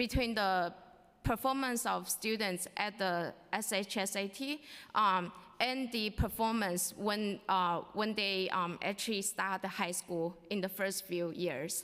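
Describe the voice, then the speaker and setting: In a very clean recording with a silent background, a woman of medium pitch speaks fairly slowly in a bright, sharp tone with ordinary pitch variation. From immigrant, came to US at sixteen. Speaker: parent, data scientist. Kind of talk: public testimony at council hearing. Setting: city council hearing. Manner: hesitant, many fillers.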